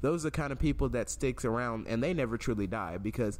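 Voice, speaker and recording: The man's voice carries noticeable vocal fry. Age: 20s. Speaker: podcast host. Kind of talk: casual chat.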